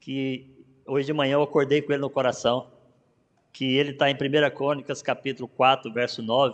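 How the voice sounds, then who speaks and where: A man speaks at a moderate pace with a fairly high pitch against a quiet background. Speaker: pastor. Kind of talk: sermon. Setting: church.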